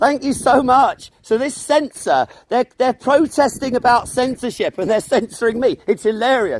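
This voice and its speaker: Loud speech flows at a moderate pace with hardly any pauses and ordinary pitch variation. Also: man, extremely high pitch for a man. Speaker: street activist livestreamer. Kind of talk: heated argument with police. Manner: sarcastic, animated.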